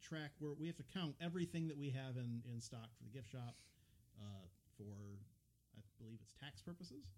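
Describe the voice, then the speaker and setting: With an Upper Midwest accent, a man talks at a fairly quick pace with ordinary pitch variation and a dark, mellow tone. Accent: upper Midwest, says railroad like 'rura'. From upper Midwest US. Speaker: podcast host at a railroad depot museum. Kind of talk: casual chat. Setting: unheated recording room at the depot.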